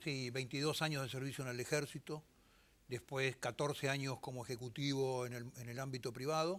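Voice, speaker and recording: With a normal speaking voice, a man talks at a fairly quick pace and keeps his intonation fairly even. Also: medium pitch for a man. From Argentina. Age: 60s. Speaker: politician and war veteran. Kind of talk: TV interview.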